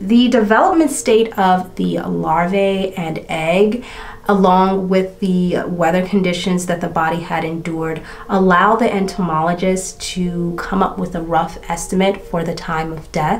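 A woman at a fairly slow pace over light background noise. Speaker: beauty and true crime creator. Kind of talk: true-crime narration while doing makeup, retelling a case in a casual storytelling style. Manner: steady, matter-of-fact narration while recounting case facts.

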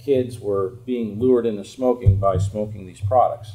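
A man does the talking. Behind him there is light background noise. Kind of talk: open message to lawmakers. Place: office. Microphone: camera far.

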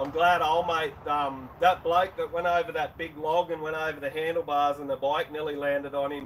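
At a fairly quick pace, a man with an Australian accent speaks over light background noise. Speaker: YouTuber, motorbike channel host. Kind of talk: casual live stream chat. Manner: halting, many fillers. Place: garage. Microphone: camera far.

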